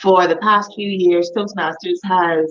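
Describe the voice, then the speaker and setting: A woman's fairly low voice in a Bahamian accent, very slow in pace and monotone with flat intonation. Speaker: club president and guest. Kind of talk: casual chat.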